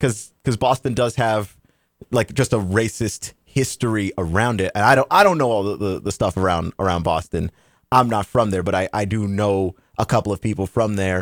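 An ordinary speaking voice with an American accent, moderate pace and ordinary pitch variation, in a dry, close sound with no echo. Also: man, fairly low pitch for a man. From Texas. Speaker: podcast co-host. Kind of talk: casual chat.

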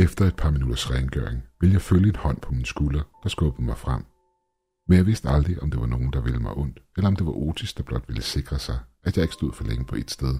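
Music plays in the background as a man talks at a moderate pace. His very deep, low voice carries lively intonation. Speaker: creepypasta narrator. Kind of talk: creepypasta horror narration, first-person story read aloud.

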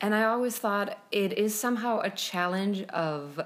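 A woman at medium pitch with a Slovenian accent, at a moderate pace. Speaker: composer and podcast co-host. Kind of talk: casual chat about music and Shakespeare.

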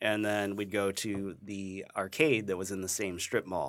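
Very clean with a silent background, the recording captures a man with an American accent and an ordinary speaking voice. He has a fairly low pitch and a moderate pace. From US Midwest, Ohio. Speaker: game collector and historian. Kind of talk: casual chat.

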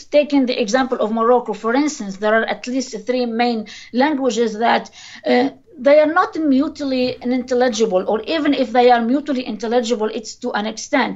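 Noticeable background noise sits behind a woman's voice. Her pitch is high, with ordinary pitch variation. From Tunisia. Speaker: linguist. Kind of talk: interview. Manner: hesitant, many fillers.

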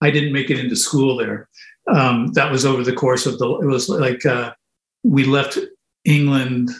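A man in a Canadian accent at medium pitch, somewhat breathy, with fairly even intonation and a moderate pace. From Canada (moved around, military family). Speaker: musician. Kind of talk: interview. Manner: halting.

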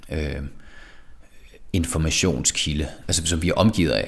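A man with a Jutlandic accent, very deep and low in pitch, with vocal fry, ordinary pitch variation and a fairly slow pace. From Denmark, Jutland (Skive). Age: 30s. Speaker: artist. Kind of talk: interview. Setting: studio workshop. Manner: halting, many repetitions and fillers.

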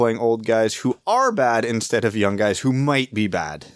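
Medium in pitch with ordinary pitch variation, the man has an unremarkable speaking voice. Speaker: hockey podcast host. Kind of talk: casual chat.

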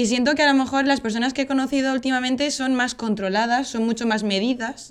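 Talking at a very fast pace, a woman with a Spanish accent keeps a high pitch, fairly even intonation and very even loudness. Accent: Spanish (Spain). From Spain, Valencia. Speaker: podcast guest. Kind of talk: casual chat.

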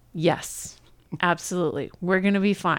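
A woman with an American accent talks in a normal speaking voice. Her pitch varies in an ordinary way. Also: very clean recording, silent background. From New York. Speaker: podcast co-host. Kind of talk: casual chat. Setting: home apartment.

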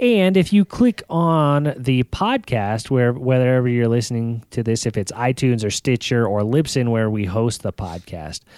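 In a normal speaking voice, a man talks at a medium pitch and moderate pace with lively intonation, on a very clean recording with a silent background and a dry, close sound with no echo. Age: 30s. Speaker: fitness podcast co-host. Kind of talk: casual chat.

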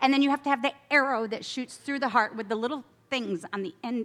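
With an American accent, a woman speaks at a fairly quick pace in a raised, projected voice. Her pitch is high and her tone bright and sharp. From upstate New York. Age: 50s. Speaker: guest speaker at church. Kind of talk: sermon. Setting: outdoor tent meeting with audience. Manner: casual, animated.

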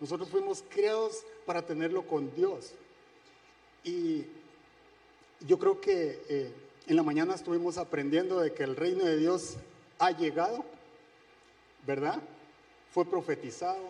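A man speaks high in pitch at a fairly slow pace with ordinary pitch variation. Long pauses come often. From Guatemala. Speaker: church speaker. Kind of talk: sermon.

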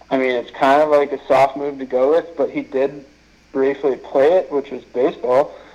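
A fairly high-pitched man's voice, monotone and flat, at a moderate pace amid noticeable background noise. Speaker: minor league baseball pitcher. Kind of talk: casual interview.

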